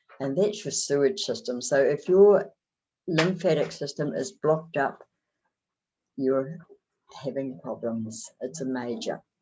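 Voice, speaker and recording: Pausing long and often, a woman with a New Zealand accent speaks at a fairly slow pace in a very deep, low pitch with lively intonation. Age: 70s. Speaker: motivational speaker. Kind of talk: motivational talk.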